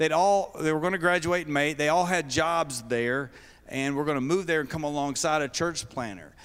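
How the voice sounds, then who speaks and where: A man talks in a Kentucky accent with a fairly high pitch. His pace is moderate, and his pitch varies in an ordinary way. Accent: Southern US (Kentucky). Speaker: denominational mission leader. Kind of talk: sermon-style talk to seminary students.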